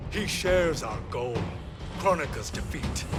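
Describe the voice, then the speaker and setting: Amid loud background noise and sound effects, a man with a fairly high pitch does a put-on character voice at a moderate pace. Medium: short film. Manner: stern, grave.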